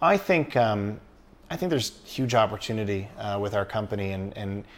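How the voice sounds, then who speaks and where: A man with a Canadian accent has an unremarkable speaking voice, fairly low in pitch with ordinary variation. The recording is very clean, against a silent background. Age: 30s. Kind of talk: casual interview.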